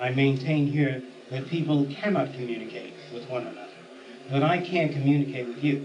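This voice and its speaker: With noticeable background noise and audible room echo, a man speaks at a fairly quick pace, fairly high in pitch with fairly even intonation. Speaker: lecturer. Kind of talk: lecture. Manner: fast.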